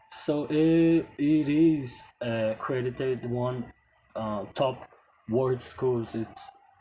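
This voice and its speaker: A man's medium-pitched voice in a Portuguese accent, dark and mellow in tone, at a very slow pace with ordinary pitch variation. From Brazil. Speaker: English teacher. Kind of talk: casual talk to camera. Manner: halting.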